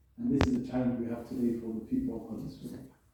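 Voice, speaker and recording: Someone speaks at a fairly quick pace with audible room echo. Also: man. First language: not Arabic. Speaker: Islamic lecturer. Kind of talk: religious lecture. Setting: venue with live audience. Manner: conversational, interactive.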